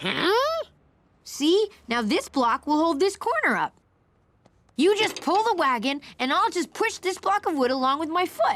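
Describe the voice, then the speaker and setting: This cartoonish character voice has an extremely high pitch. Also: moderate pace. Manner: eager, chatty.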